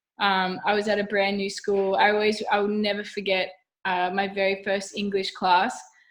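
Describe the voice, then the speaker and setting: Here a woman speaks with an Australian accent. Her pitch sits in the medium range. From Australia, Wollongong New South Wales. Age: 20s. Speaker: professional golfer. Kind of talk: casual interview chat. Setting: video call. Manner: chatty, animated.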